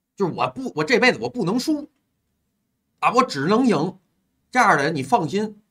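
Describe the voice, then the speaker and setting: A man speaks at a moderate pace in a high voice with a bright, sharp, animated tone. His pitch swings very widely, and he takes long, frequent pauses. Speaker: livestream host taking call-ins. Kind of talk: casual chat. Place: home room. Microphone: earbuds.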